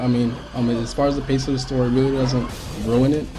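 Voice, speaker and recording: Over noticeable background noise, a man with a medium-pitched voice talks at a fairly quick pace. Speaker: game reviewer. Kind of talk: casual game review talk. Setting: webcam mic.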